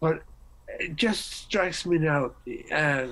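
A man talks slowly at a fairly high pitch with ordinary pitch variation. His tone is fairly bright.

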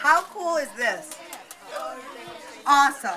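A woman's raised, projected voice, upbeat and enthusiastic, with ordinary pitch variation and crowd noise behind it. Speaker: radio host / emcee. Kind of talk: live radio promo emcee, prize giveaway at a movie premiere. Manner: upbeat, enthusiastic. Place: shop. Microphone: pa.

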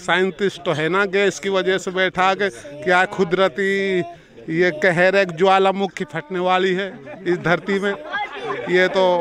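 Speaking at a fairly slow pace, a man with a high pitch is heard in a dry recording with no echo and light background noise. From Mewat, Haryana (India); Haryana, India. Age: 50s. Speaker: villager. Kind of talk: interview. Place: open country. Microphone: handheld.

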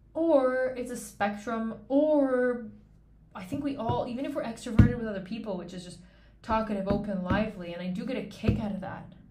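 Amid audible room echo, a woman talks at a fairly quick pace in a somewhat breathy voice with a dark, mellow tone and ordinary pitch variation. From Canada. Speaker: podcast host. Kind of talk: casual monologue. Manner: conversational, unscripted.

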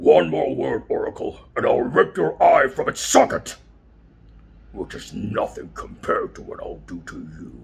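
A man puts on a character voice. His delivery moves at a moderate pace. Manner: menacing, threatening.

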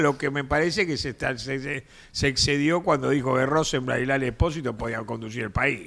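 Here a man talks at a fairly quick pace. His pitch is fairly high. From Argentina. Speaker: political commentator; talk show panelist. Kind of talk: casual chat. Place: studio. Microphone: studio mic.

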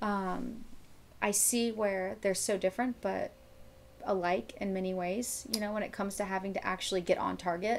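Light background noise sits behind a woman with an American accent. She talks at a moderate pace with fairly even intonation. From Florida, Miami; Florida. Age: 30s. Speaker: bikini competitor and hunter; podcast guest. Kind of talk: casual chat. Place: home room.

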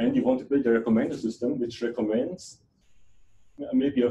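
Somewhat breathy, a man speaks with a German accent over light background noise. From Germany. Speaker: computer science researcher. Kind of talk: lecture. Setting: seminar room with audience. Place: hall.

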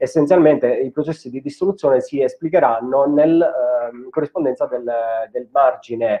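The background stays quiet. A man talks fairly quickly, his pitch varying in an ordinary way. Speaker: speaker. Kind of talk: lecture. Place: home room. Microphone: webcam.

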